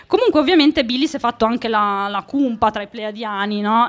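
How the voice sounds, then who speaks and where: Her tone animated, a woman speaks fairly quickly at a fairly high pitch with ordinary variation in a very clean recording with a silent background. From northern Italy, Emilia (Monticelli). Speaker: podcast host. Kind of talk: live storytelling to audience. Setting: stage with audience.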